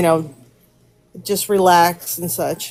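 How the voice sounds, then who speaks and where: An unremarkable speaking voice from a woman, fairly low in pitch, at a moderate pace with fairly even intonation. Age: 60s. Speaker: caller sharing paranormal story. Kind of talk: personal storytelling. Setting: live stream call.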